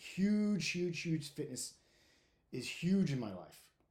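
A man talks at a fairly slow pace in a dark, mellow tone. His pitch swings very widely. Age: 50s. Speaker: podcast host, firefighter. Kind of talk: casual monologue. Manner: informal, candid; halting, uses filler words.

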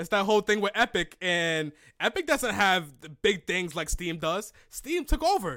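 In a very clean recording with a silent background, a man with a high, bright, sharp voice speaks at a moderate pace in a raised, projected, animated tone, with lively intonation and big swings in loudness. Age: 20s. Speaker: podcast host. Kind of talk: casual chat.

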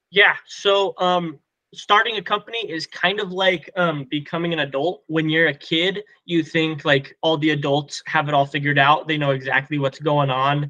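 A man with an American accent has an unremarkable speaking voice, fairly high in pitch with ordinary pitch variation. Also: moderate pace. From Colorado. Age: 20s. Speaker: pest control business owner. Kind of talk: casual interview.

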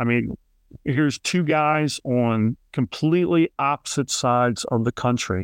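With a Philadelphia accent, a man speaks at a medium pitch and a fairly slow pace, with ordinary pitch variation, very even loudness and a dry, close sound with no echo. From Philadelphia, Kensington. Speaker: podcast host. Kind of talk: interview.

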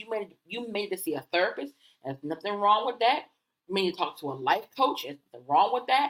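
A woman at medium pitch, very fast, with very wide pitch swings and big swings in loudness. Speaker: podcast host and coach. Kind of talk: solo podcast monologue, conversational.

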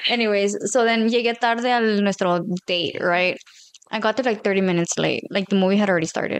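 An unremarkable speaking voice from a woman, medium in pitch, at a fairly quick pace with fairly even intonation and very even loudness. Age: 20s. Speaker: guest. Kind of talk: casual chat.

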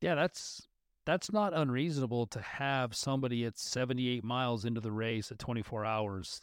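A man speaks at medium pitch and a moderate pace with ordinary pitch variation, an ordinary speaking voice. The sound is dry and close with no echo, a very clean recording with a silent background. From northern Utah. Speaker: podcast host. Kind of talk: casual interview.

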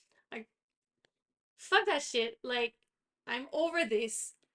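A woman's raised, projected voice, bright and sharp with a high pitch, very wide pitch swings and big swings in loudness, comes at a very slow pace with long, frequent pauses in a dry, close sound with no echo. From Quebec. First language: French. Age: 30s. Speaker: podcast co-host. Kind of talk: casual chat.

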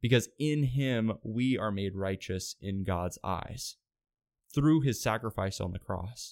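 Against a silent background in a very clean recording, a man with an unremarkable speaking voice talks at a fairly slow pace and a fairly low pitch. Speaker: podcast host. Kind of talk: devotional solo podcast talk.

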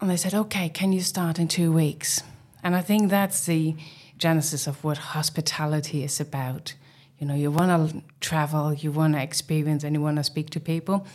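A woman with a German accent speaks at a moderate pace in a very deep, low pitch with fairly even intonation, on a very clean recording with a silent background. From East Germany. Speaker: hotel managing director. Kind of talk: casual interview conversation. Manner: hesitant, with frequent filler words.

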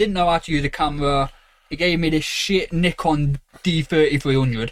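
Here a man speaks with an East Midlands accent at a moderate pace. His pitch is fairly high and his intonation fairly even. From Derby, England. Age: 20s. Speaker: podcast co-host, photographer. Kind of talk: casual chat. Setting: small box room at home.

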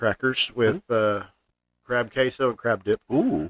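The man speaking sounds dry and close, with no echo. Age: 30s. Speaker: podcast host. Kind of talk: casual chat.

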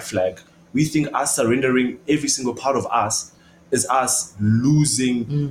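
The man's voice comes out somewhat breathy. Its pitch is medium. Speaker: podcast host.

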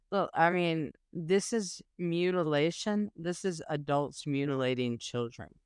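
A woman with an American accent speaks at a fairly slow pace with hardly any pauses, a fairly low pitch and ordinary pitch variation, on a very clean recording with a silent background. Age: 40s. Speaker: podcast co-host, social media activist. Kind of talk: casual chat.

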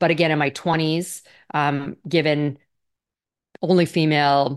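Her voice is very deep and low, and the woman's intonation stays fairly even. The background is quiet. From Canada. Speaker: business executive. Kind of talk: interview.

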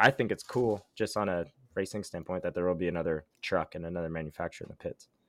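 A man speaks at a very fast pace in a very deep, low pitch. The background is quiet. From Ottawa, Canada. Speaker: motocross racer and podcast co-host. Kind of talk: casual chat.

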